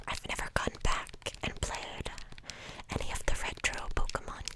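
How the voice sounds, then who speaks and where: A whisper comes through over noticeable background noise. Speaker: ASMR creator. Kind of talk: ASMR whispering. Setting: home recording, USB microphone. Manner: whispered.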